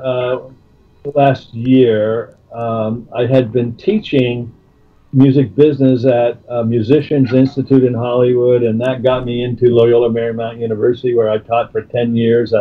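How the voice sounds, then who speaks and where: Music can be heard behind the voice. The speaker is a man with a medium pitch. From Canada. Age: 70s. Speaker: music manager and retired professor. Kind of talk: interview. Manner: halting.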